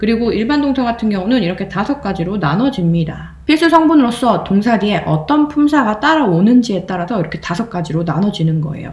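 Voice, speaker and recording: Amid noticeable background noise, a woman at medium pitch talks at a very fast pace with hardly any pauses and very wide pitch swings. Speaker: English grammar teacher. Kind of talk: video lecture.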